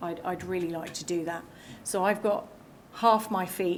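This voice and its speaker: A woman speaks at a moderate pace with a fairly low pitch and fairly even intonation, and audible room echo surrounds her voice. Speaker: cyber security outreach staff. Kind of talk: conference talk. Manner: loud; halting, many fillers and repeats.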